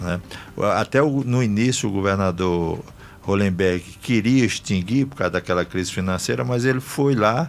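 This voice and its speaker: At a moderate pace, a plain, everyday voice carries lively intonation. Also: man, fairly low pitch for a man. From Brazil, Rio Grande do Norte (Northeast). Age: 60s. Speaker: politician. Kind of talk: radio interview. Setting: radio studio.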